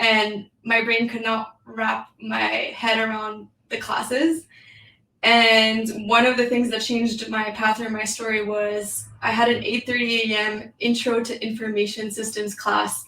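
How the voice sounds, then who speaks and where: Her bright, sharp voice sits fairly high for a woman, moving at a fairly slow pace with monotone, flat intonation. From New York City, French-speaking family. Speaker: tech founder and breathwork coach. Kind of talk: podcast interview. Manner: casual, many fillers.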